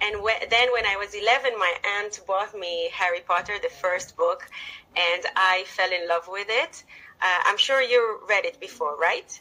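The speaker has an Israeli accent and an animated, enthusiastic tone at a fairly slow pace. Pitch variation is ordinary, with noticeable background noise. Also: woman, medium pitch for a woman. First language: Hebrew. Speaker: teacher and author. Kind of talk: casual interview.

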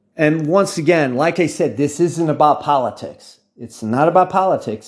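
Speaking very slowly with an American accent, a man with a fairly high voice is heard against a quiet background. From United States. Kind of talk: monologue. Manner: halting.

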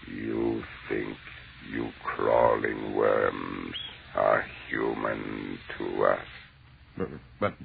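A man's put-on character voice, very deep and low in pitch, at a very slow pace with long, frequent pauses. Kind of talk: 1930s radio horror acting. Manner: mocking, laughing; cold, contemptuous, commanding.

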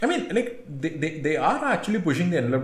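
There is audible room echo and noticeable background noise as a man talks in a fairly high pitch. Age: 30s. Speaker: motoring podcast co-host. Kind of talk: casual chat.

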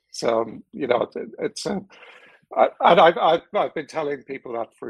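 Speaking at a moderate pace with an Irish accent, a man uses lively intonation in a dry, close recording with no echo. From Ireland. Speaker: technology executive and board advisor. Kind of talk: casual interview. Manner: halting, repeats words.

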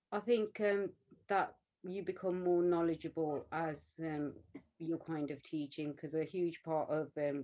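With a Birmingham accent, a woman speaks at a moderate pace in a very deep, low voice, her tone dark and mellow and her intonation fairly even. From West Midlands, England. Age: 40s. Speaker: artist and art teacher. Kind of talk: interview conversation.

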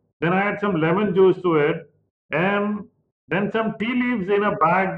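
A man with an Indian accent speaks at a moderate pace with ordinary pitch variation. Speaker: chef and co-host. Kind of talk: casual chat.

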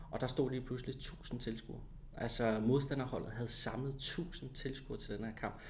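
In audible room echo, a man at medium pitch talks fairly quickly in a dark, mellow, somewhat breathy voice with fairly even intonation. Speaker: former footballer and TV commentator. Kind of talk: casual interview.

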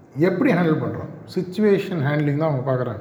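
A man's fairly high-pitched voice with ordinary pitch variation, audible room echo and noticeable background noise. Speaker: guest speaker at a college. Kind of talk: motivational talk to students.

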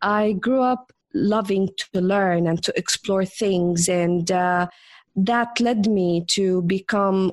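A woman at a medium pitch and a very slow pace, against a quiet background. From Jordan. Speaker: entrepreneur and business coach. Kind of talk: interview.

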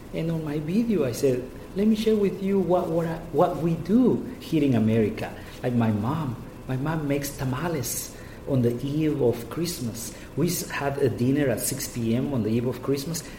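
A man with a Spanish accent speaks at a moderate pace in a fairly high voice, his intonation lively over noticeable background noise. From Guatemala. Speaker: state official. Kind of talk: interview. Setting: office.

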